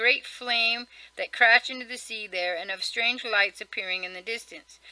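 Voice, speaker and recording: A woman speaks at a fairly quick pace in a bright, sharp tone with ordinary pitch variation. The sound is dry, with no echo. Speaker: vlogger. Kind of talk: casual reading aloud of a list article with comments. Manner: fast. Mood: casual, mildly wry. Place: home room. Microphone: webcam.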